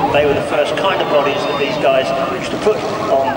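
A man speaks over loud background noise. Room echo can be heard. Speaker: race commentator. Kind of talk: commentary. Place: stadium. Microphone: pa.

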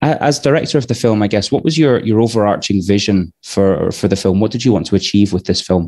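Talking at a fairly quick pace with hardly any pauses, a man with a Scottish accent has a dark, mellow tone, ordinary pitch variation and very even loudness. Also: fairly low pitch for a man, quiet background. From Scotland. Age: 30s. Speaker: podcast host. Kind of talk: casual chat. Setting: live online show. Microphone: headset.

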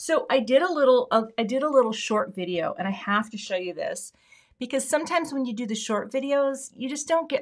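With an American accent, a woman talks in an animated tone with very wide pitch swings against a quiet background. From US Pacific Northwest, Everett, Washington; Washington. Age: middle-aged. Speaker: craft YouTuber. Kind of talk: live stream card-making tutorial. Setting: home craft studio. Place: home room.

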